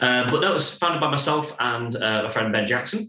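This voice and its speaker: A man's speech moves at a fairly quick pace with ordinary pitch variation, while noticeable background noise and audible room echo surround it. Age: 30s. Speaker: brewery co-founder. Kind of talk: casual chat.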